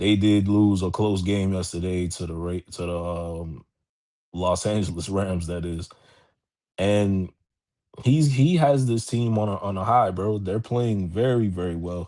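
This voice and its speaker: The tone is dark and mellow, and the pace is fairly slow. The background is quiet. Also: man, very deep, low pitch for a man, ordinary pitch variation. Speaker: sports podcast host. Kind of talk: casual sports commentary. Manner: halting, repeated starts; casual, filler-heavy.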